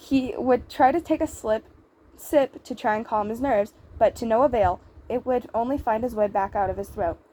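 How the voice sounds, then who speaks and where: Speaking at a moderate pace, a woman with a fairly high pitch shows vocal fry. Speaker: fan fiction reader. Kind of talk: reading aloud. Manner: halting; apologetic.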